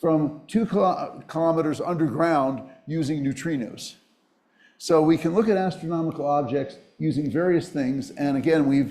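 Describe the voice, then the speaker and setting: The speaker has an American accent and a dark, mellow tone, with ordinary pitch variation. Room echo is audible. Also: man, fairly high pitch for a man. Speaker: physics professor. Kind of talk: lecture. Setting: auditorium with audience. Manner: fast.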